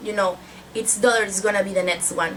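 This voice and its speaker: With a Spanish accent and ordinary pitch variation, a woman talks over noticeable background noise. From Mexico. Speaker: book vlogger. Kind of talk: casual book review vlog.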